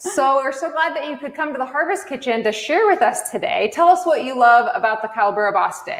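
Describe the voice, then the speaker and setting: The delivery is energetic and fairly quick, with hardly any pauses and very wide pitch swings. Noticeable background noise is present. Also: woman, high pitch for a woman. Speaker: cooking class host. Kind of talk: livestream hosting. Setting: online livestream from a kitchen.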